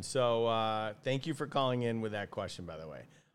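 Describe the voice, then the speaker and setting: This man has an ordinary speaking voice, pitched in the medium range and delivered at a moderate pace. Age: 50s. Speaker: fishing podcast host. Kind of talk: casual chat.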